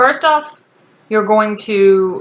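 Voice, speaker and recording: A woman speaks at fairly high pitch with lively intonation. She has an ordinary speaking voice. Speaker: college writing instructor. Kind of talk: recorded class instructions. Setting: recorded video for online class.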